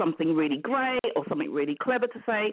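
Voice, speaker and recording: In a British accent, a woman talks at a moderate pace with lively intonation. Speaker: business mentor. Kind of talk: interview.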